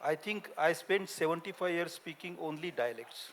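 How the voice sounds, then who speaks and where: A high-pitched male voice with a Gujarati accent at a moderate pace. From India, Maharashtra village. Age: 70s. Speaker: linguist and author. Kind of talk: panel discussion. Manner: halting.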